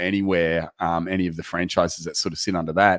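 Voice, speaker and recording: Someone with an Australian accent talks at a fairly quick pace in a monotone, flat intonation. The recording is very clean, with a silent background. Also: man. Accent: Australian, sounds funny to Americans. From Australia, Queensland. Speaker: proptech program managing partner. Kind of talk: interview. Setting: live video stream.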